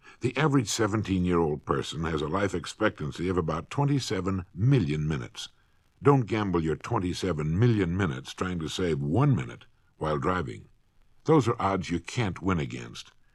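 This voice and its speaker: A man with a husky, very deep, low voice and vocal fry talks in a stern tone at a fairly quick pace, his pitch swinging very widely, in a very clean recording with a silent background. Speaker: motivational speaker. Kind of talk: vintage spoken-word record, instructional lecture. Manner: stern, scolding.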